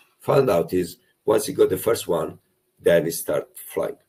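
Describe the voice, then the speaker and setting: At a moderate pace, a man speaks with a strong Italian accent. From Italy. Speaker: property investment coach. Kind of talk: webinar presentation. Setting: online webinar. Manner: animated.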